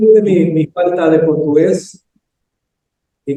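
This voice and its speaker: A man speaks at a very slow pace with a fairly high pitch. His tone is dark and mellow. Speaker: session moderator at academic conference. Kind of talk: academic discussion.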